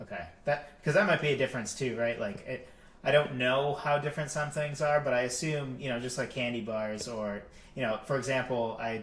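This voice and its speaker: Moving at a fairly quick pace, a man with an American accent talks at medium pitch with ordinary pitch variation. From Massachusetts. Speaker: podcast co-host. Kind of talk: casual discussion. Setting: live stream.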